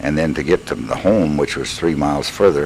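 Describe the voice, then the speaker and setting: A man with an American accent speaks in a very deep, low pitch with ordinary pitch variation. There is noticeable background noise. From Missouri, USA. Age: 70s. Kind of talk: personal life story recording. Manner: hesitant, conversational.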